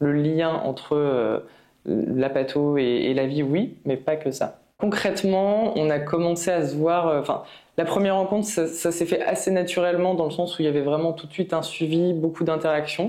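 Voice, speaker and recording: Her voice sits fairly low for a woman, moving at a moderate pace with ordinary pitch variation. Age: 30s. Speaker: patient with multiple sclerosis. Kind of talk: testimony. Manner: halting, many hesitations.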